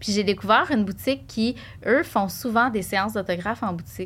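A medium-pitched woman's voice with a Quebec accent and vocal fry, at a fairly quick pace. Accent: Québécois French. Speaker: shop owner. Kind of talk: casual chat. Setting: studio.

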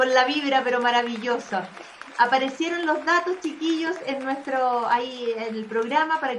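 Amid noticeable background noise and audible room echo, a woman talks at a moderate pace in a high pitch. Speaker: talk show host. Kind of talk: casual chat. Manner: animated.

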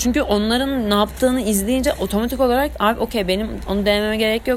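Over noticeable background noise, a woman talks fairly quickly in a fairly high, animated voice. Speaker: student podcaster. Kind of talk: casual monologue. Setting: at home.

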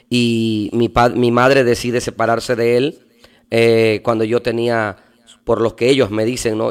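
Medium-pitched man, fairly slow pace, monotone, flat intonation. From Mexico, Veracruz port. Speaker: pastor. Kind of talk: casual interview.

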